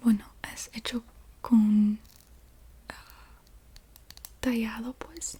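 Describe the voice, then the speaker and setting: Soft-spoken and fairly high-pitched, a woman talks very slowly with long, frequent pauses over noticeable background noise. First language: English (speaking Spanish). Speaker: ASMR youtuber. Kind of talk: ASMR object show-and-tell. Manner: halting, self-correcting.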